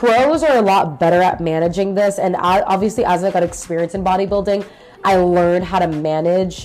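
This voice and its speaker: A woman's animated voice at medium pitch and a moderate pace, with ordinary pitch variation and music in the background. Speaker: fitness podcaster, former bikini bodybuilder. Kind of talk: casual personal storytelling podcast. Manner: casual, animated.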